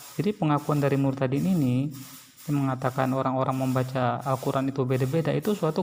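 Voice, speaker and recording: A man talks at a fairly quick pace with fairly even intonation in a plain, everyday voice. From Sulawesi, Indonesia. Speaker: religious commentary host. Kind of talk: commentary on a video.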